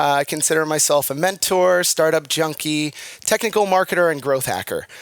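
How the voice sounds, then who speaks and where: Here a man talks in an energetic tone with an American accent. The sound is dry and close, with no echo. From Washington, D.C., US. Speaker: marketing conference speaker. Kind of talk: conference talk. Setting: stage with audience. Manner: fast.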